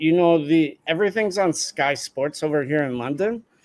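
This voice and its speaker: Using a plain, everyday voice, a man with an American accent speaks at a fairly high pitch and a moderate pace with lively intonation. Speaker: PR director for a fight gym. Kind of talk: casual chat.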